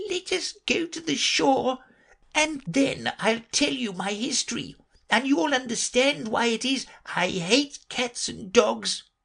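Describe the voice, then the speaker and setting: The put-on character voice is shaky and fairly high in pitch. It proceeds at a fairly slow pace. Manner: low, trembling, agitated.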